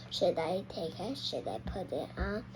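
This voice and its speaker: A woman's put-on character voice over loud background noise. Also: moderate pace. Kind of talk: children's read-aloud. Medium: read story.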